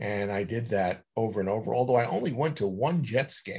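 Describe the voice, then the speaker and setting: In an American accent, a normal speaking voice moves at a moderate pace with lively intonation over a quiet background. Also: man. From New York City (Queens). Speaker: author. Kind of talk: interview.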